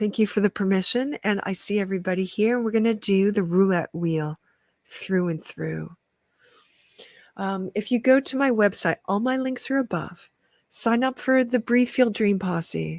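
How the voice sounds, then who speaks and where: Recorded with a dry, close sound and no echo, a woman speaks at a medium pitch with ordinary pitch variation. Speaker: energy healer livestreamer. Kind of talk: livestream energy reading. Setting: livestream. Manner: animated.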